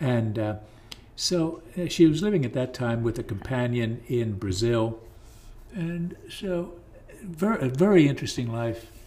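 Somewhat breathy with a dark, mellow tone, the voice has an American accent and lively intonation, broken by long, frequent pauses. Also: man, medium pitch for a man, fairly slow pace. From southeastern Pennsylvania, rural. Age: 70s. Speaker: local historian and writer. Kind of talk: casual interview.

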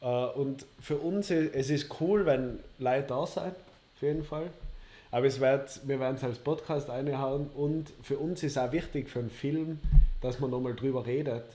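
A man's dark, mellow voice, fairly slow and with fairly even intonation. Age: 20s. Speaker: podcast co-host. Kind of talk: casual chat. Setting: livestream.

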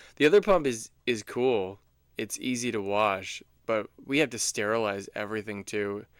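A plain, everyday voice from a man, medium in pitch with ordinary pitch variation and a moderate pace, on a very clean recording with a silent background. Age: 40s. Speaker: podcast co-host, new father. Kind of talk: casual chat.

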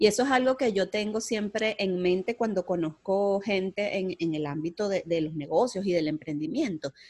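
This is a plain, everyday voice with lively intonation at a moderate pace, hardly any pauses, and a dry, close sound with no echo. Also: woman, medium pitch for a woman. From Venezuela, Puerto Cabello. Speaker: strategic planning specialist and entrepreneur. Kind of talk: interview.

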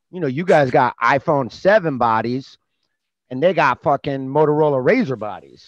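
In a plain, everyday voice, a man with an American accent speaks at a moderate pace and fairly high pitch, with ordinary pitch variation, big swings in loudness and a dry, close sound with no echo. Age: 40s. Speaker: comedian. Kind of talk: casual chat.

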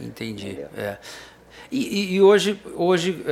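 A man's voice with very wide pitch swings. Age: 60s. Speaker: TV talk show host. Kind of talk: interview.

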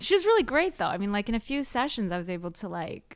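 A woman with an American accent and very wide pitch swings, in a very clean recording with a silent background. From San Francisco Bay Area, US. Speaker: mindset coach, former accountant. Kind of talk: casual interview chat.

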